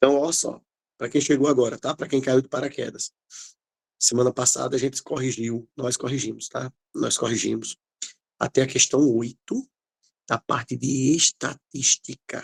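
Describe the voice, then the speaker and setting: In a put-on character voice, a man speaks soft and raspy at a medium pitch and moderate pace, monotone and flat, with long, frequent pauses, in a dry, close sound with no echo. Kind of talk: classroom teacher explaining. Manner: speaking softly.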